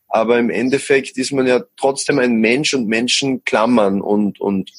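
A man speaks in an ordinary speaking voice. His pitch is medium, with ordinary variation. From Austria. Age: 20s. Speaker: musician. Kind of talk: interview. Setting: podcast.

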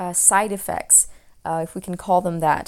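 A woman speaks at a medium pitch in a French accent, her intonation fairly even. The recording is very clean, with a silent background. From French-speaking region, multilingual upbringing. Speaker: naturopath podcast host. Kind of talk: solo Q&A podcast talk. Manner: hesitant, many fillers.

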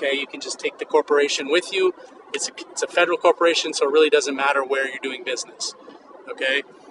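A man talks at a very fast pace with big swings in loudness. The sound is dry and close with no echo, yet noticeable background noise is present. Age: 50s. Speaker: podcast host, vintage clothing entrepreneur. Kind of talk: solo educational monologue. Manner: casual, with frequent fillers.

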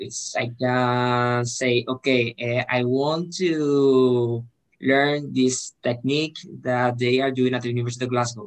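At a fairly slow pace, a man delivers his words in a flat monotone at a medium pitch. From Spain. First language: Spanish. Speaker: student representative. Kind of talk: interview. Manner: halting, repeats words.

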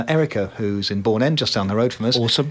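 A man talks at a very fast pace, with ordinary pitch variation. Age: 60s. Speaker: radio host. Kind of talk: casual chat.

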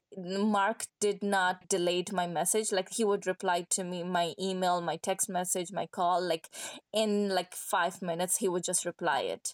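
A woman with a Pashto accent, medium pitch, fairly slow pace and monotone, flat intonation, dry and close with no echo, on a very clean recording with a silent background. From Afghanistan, Kandahar. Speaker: artist. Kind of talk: interview.

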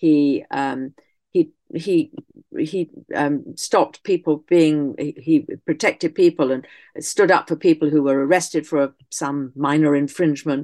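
In a dry, close recording with no echo and a quiet background, a woman with an English accent speaks at a fairly slow pace, her very deep, low voice dark and mellow in tone, her intonation fairly even. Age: 70s. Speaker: historian and author. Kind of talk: interview. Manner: halting.

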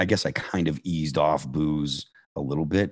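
A man speaks with an American accent. Vocal fry runs through his voice. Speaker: hard rock band vocalist. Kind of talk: interview about recovery.

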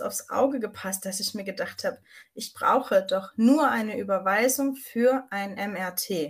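Here a woman speaks at a fairly slow pace, her voice somewhat breathy. Her pitch is fairly high, with ordinary variation. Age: 30s. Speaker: vocational school teacher with MS. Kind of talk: personal testimony.

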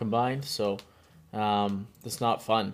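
A man speaks in a normal speaking voice with a fairly low pitch. The recording is very clean, the background silent. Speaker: hockey podcast co-host. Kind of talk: casual sports banter.

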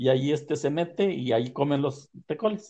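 At a moderate pace, a man speaks with a dark, mellow tone at a fairly high pitch. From Puebla, Mexico (Tehuacán area). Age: 60s. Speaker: farmer, maguey grower. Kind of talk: storytelling interview. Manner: halting.

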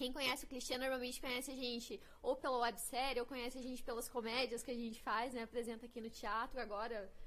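The woman's voice is high, and she talks fairly quickly while background noise is clearly noticeable. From Paraná, Brazil (grew up near Curitiba). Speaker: actress. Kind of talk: casual chat. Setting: live-streamed podcast studio.

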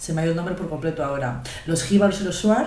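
Female speech with noticeable background noise and an audible room echo. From Spain, Guadalajara. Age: young. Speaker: podcast co-host. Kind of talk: casual chat.

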